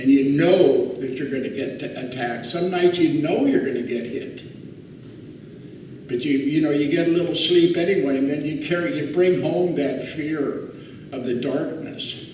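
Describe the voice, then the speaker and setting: Over noticeable background noise and audible room echo, a man speaks at a moderate pace. His pitch is fairly high, with ordinary pitch variation. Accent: American. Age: 60s. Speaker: war veteran. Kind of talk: testimony. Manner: halting.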